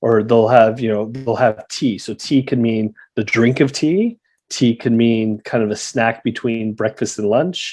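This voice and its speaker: Against a quiet background, a man with a Canadian accent talks in a plain, everyday voice at a medium pitch, a fairly slow pace, and fairly even intonation. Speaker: guest, childhood friend of the host living in Australia. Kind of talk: casual chat.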